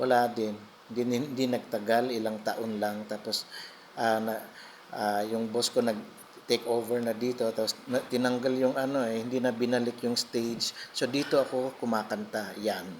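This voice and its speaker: This man talks in a flat, monotone way at a medium pitch. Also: moderate pace. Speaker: vlogger and restaurant singer. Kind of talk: casual vlog walkthrough. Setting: restaurant. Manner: halting, many fillers.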